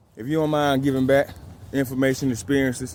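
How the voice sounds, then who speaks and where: A man talks fairly quickly at a medium pitch. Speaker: fitness and discipline vlogger. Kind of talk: motivational vlog talk. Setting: outdoors.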